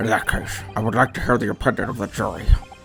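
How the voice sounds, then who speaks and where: A put-on character voice rattles along at a very fast pace. Clear background noise runs underneath. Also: man, medium pitch for a man. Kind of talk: formal courtroom speech. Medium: game stream.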